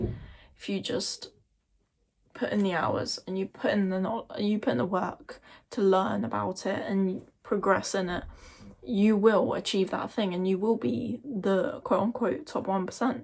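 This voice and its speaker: Using a put-on character voice, a woman sounds croaky at a medium pitch, speaking at a fairly slow pace with lively intonation. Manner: earnest, motivational.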